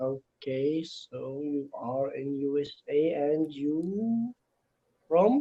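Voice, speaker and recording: His speech moves very slowly. The man's pitch rises and falls in an ordinary way. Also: fairly high pitch for a man. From Egypt. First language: Arabic. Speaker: English teacher, language learner. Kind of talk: casual chat. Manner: halting.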